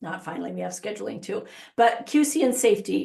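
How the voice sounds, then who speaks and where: A woman's fairly high, fairly quick voice with vocal fry. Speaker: software consultant. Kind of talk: software demo webinar. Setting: webinar. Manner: fast.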